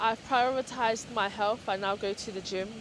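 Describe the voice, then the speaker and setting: A woman speaks at a fairly high pitch. There is noticeable background noise. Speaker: lifestyle vlogger. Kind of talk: casual vlog talk to camera. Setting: outdoors at the beach. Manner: halting, self-correcting. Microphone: small camera's built-in microphone, held in hand.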